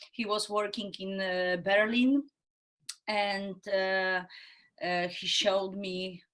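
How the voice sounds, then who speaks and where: A woman with a Polish accent at a very slow pace. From Poland. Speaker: actress and improv theatre trainer. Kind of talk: podcast interview. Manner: halting, searching for words.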